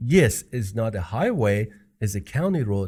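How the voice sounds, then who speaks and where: A somewhat breathy male voice with a non-native accent and very wide pitch swings, on a very clean recording with a silent background. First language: not English. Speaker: podcast co-host. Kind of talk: casual chat.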